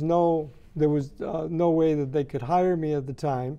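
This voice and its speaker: A man's dark, mellow voice, fairly high in pitch, with ordinary pitch variation. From Mexico (Jalisco). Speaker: graphic artist and art director. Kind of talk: interview answer. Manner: relaxed, conversational, hesitant with fillers. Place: studio.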